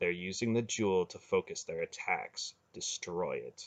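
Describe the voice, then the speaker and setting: In a put-on character voice, a man speaks at a moderate pace. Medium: read story.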